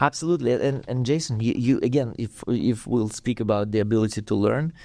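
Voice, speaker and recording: A man with a Russian accent at a fairly quick pace, dark and mellow in tone, over a quiet background. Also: medium pitch for a man, ordinary pitch variation. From Russia (USSR). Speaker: dance teacher and studio owner. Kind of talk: podcast interview. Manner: halting, many repetitions and fillers.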